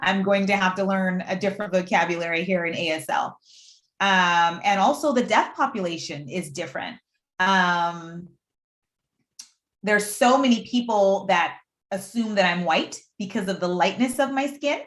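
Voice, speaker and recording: A woman with a Puerto Rican accent speaks at a medium pitch and moderate pace, her tone animated and intonation lively. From Puerto Rico. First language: Spanish. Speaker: deaf aspiring astronaut, STEM panelist. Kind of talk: panel discussion.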